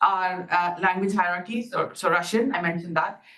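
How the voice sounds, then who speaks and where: This woman talks fairly quickly at a medium pitch, her pitch varying in an ordinary way, with audible echo from the room. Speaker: academic researcher. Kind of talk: conference talk. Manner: fast; loud.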